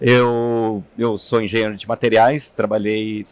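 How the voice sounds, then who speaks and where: A man at a very slow pace with a medium pitch. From interior of São Paulo state, Brazil (São Carlos). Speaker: materials engineer and sustainability executive. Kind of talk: interview. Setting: studio. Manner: hesitant, with fillers.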